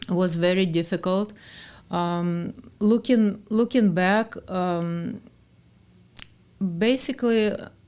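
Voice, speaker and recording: A woman with a Russian accent speaks very slowly at medium pitch with ordinary pitch variation and long, frequent pauses, on a very clean recording with a silent background. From Russia (born in Ukraine, childhood partly in Germany). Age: 50s. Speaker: author. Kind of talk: podcast interview. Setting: studio. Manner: halting.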